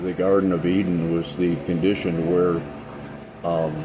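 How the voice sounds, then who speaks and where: There is noticeable background noise behind a man's speech. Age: 60s. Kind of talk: casual spiritual talk to camera. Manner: hesitant, many fillers.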